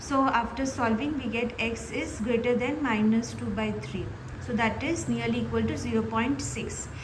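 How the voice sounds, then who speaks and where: There's noticeable background noise and audible room echo as a woman speaks. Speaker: maths teacher. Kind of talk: tutorial. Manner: slow; halting.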